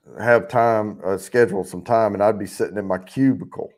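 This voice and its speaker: A man with a fairly low voice and a slight Southern US accent speaks at a moderate pace with ordinary pitch variation. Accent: slight Southern country. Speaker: livestream giveaway show host. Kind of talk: casual chat. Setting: live stream.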